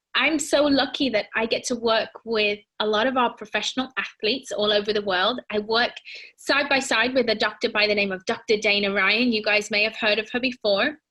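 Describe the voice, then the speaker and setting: A woman's fairly high, bright and sharp voice with a British accent at very even loudness. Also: fairly even intonation. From Britain. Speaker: fitness and nutrition presenter. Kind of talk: presentation. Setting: home. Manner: casual, warm, with fillers.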